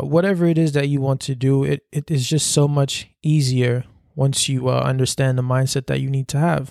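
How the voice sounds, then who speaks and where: Recorded very cleanly against a silent background with a dry, close sound and no echo, a man with a fairly high pitch talks at a moderate pace in a monotone, flat intonation. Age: 20s. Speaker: podcast host. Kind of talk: motivational monologue. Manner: hesitant, many fillers and repetitions.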